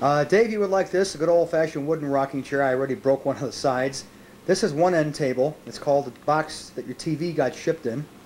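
Light background noise sits under a man talking at a very fast pace. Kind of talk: casual home video narration. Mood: wry, joking. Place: home room. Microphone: old recording.

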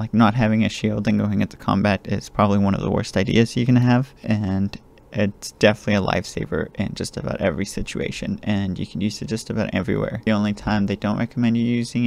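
Quiet and dry with no echo, a man talks at a very fast pace and a fairly low pitch. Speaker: gaming tutorial creator. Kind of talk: game tutorial voiceover. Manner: quiet, low volume. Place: home room.

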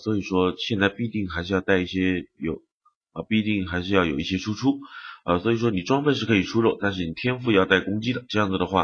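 The man's pitch is fairly low, with ordinary variation. He talks at a very fast pace. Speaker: game streamer commentator. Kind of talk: gameplay commentary video.

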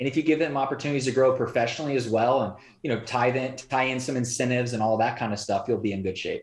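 Somewhat breathy and at medium pitch, a man talks at a very fast pace with fairly even intonation, and audible room echo surrounds him. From Indiana, US Midwest. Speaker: entrepreneur and business coach; business coach. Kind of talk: interview conversation. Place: home room. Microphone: video call.

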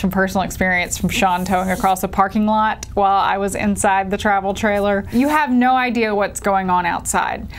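Her pitch varies in an ordinary way as this woman talks at a fairly quick pace. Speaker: RV travel vlogger. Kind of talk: explainer talk to camera. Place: home room. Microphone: lapel.

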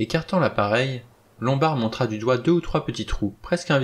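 The plain reading aloud comes with lively intonation.

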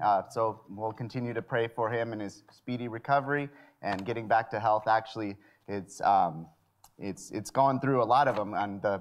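The man's pitch varies in an ordinary way as he talks at a moderate pace. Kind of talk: worship announcements. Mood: friendly, light humor. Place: church.

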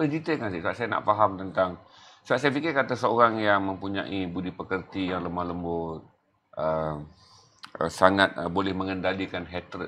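Light background noise sits behind a man with a very deep, low voice who speaks at a moderate pace with ordinary pitch variation. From Malaysia. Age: 50s. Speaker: talk show host; interviewer host. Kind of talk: interview. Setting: studio. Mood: earnest, probing. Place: studio. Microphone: lapel.

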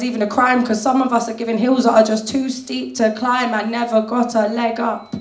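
A woman with a fairly high voice talks at a moderate pace amid audible room echo. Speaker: slam poet. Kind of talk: spoken word slam performance. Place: cafe.

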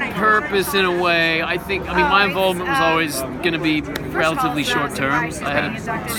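Moderate-paced speech, dry with no echo, over crowd noise in the background. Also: man. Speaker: actor at event. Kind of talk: interview answer. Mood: relaxed, friendly. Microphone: phone near.

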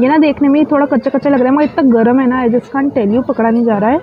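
A woman talks fast at a high pitch with ordinary pitch variation and faint background noise.

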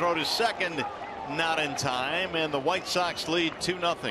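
Over loud background noise, a man sounds excited, speaking at a high pitch with ordinary pitch variation in a dry sound with no echo. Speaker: baseball play-by-play announcer. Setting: broadcast booth. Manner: brisk, clipped calls rising to excited bursts on big plays. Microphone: headset.

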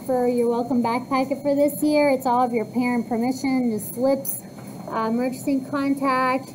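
Noticeable background noise sits behind a woman speaking at a moderate pace and high pitch. Her intonation is monotone and flat, and her loudness stays very even. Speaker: cosmetology teacher. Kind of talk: classroom instructions. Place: classroom.

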